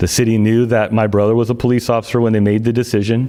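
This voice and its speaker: A man's fairly low voice, monotone and flat, at a very fast pace over noticeable background noise. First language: Greek. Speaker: city manager candidate, former auditor. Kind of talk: public statement at council meeting. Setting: teleconference.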